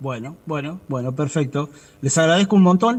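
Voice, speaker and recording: A man is speaking at a fairly quick pace. His pitch variation is ordinary. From Argentina, Buenos Aires province. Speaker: civilian worker union representative. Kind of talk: interview. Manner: fast.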